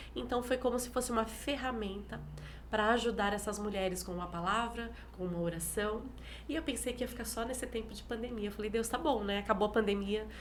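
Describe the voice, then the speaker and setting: Fairly quick woman's speech with vocal fry, fairly high pitch, ordinary pitch variation and audible room echo. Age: 40s. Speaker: pastor. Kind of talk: interview. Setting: live stream.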